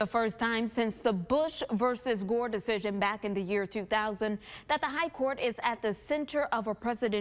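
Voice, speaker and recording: An unremarkable speaking voice belongs to a woman of fairly high pitch. She talks at a moderate pace with very even loudness and ordinary pitch variation. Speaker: TV news anchor and reporter. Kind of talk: breaking news anchor read.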